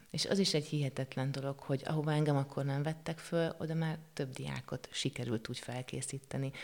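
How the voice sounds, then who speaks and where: A woman speaks at a fairly quick pace with hardly any pauses. Her voice is very deep and low, with fairly even intonation. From Hungary, Székesfehérvár. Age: 40s. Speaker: art teacher and painter. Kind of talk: interview. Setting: studio. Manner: halting.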